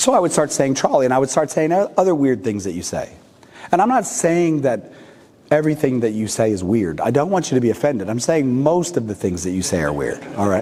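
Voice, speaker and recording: With a West Coast accent, a man at medium pitch makes very wide pitch swings over noticeable background noise. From California, US. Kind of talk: talk to a parish audience. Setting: church with live audience. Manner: usually loud, quieter today.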